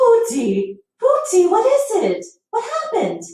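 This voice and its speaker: At a moderate pace, a woman puts on a squeaky character voice with an extremely high pitch, heard with slight echo. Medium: read story.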